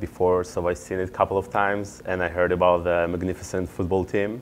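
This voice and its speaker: Speaking with a non-native accent, a man has a very deep, low pitch and a fairly quick pace. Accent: foreign. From Israel. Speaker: MBA student and startup founder. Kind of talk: interview.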